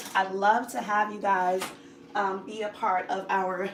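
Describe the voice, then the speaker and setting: Speaking at a fairly slow pace and medium pitch, a woman varies widely in loudness, with noticeable background noise and audible room echo. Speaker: cooking channel host. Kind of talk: live cooking tutorial.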